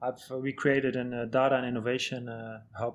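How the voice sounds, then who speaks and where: Moderate pace and a Dutch accent over a quiet background. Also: man. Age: 40s. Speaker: head of medical and performance at a football club. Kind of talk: podcast interview.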